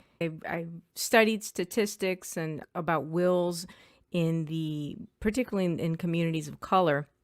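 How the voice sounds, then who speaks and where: A woman with a Spanish accent, fairly low pitch and ordinary pitch variation, on a very clean recording with a silent background. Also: moderate pace. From US, inner city, Afro-Cuban family. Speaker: estate planning attorney. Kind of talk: podcast interview.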